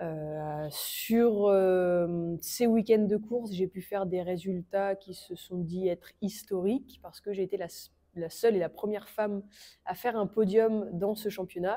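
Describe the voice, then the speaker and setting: Her tone dark and mellow, a woman speaks very slowly at medium pitch with fairly even intonation. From France, Normandy. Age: 20s. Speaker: motorcycle racer. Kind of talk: interview.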